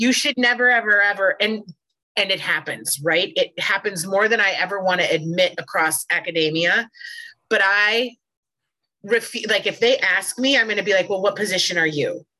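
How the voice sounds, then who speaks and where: A bright, sharp voice with an American accent, a moderate pace and ordinary pitch variation. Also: woman, medium pitch for a woman. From Minnesota. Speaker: podcast co-host, college educator. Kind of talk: casual interview.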